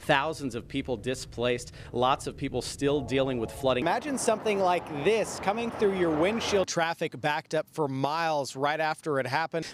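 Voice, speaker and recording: Talking in an ordinary speaking voice with a fairly high pitch, a man delivers lively intonation at a moderate pace with hardly any pauses. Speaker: TV news anchor and reporter. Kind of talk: live field reporting. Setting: outdoors, on location live report.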